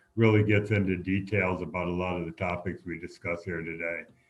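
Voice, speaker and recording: Fairly quickly, a man talks with monotone, flat intonation. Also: big swings in loudness. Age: 70s. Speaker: retired airline pilot and activist. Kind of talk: interview. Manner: halting, many fillers.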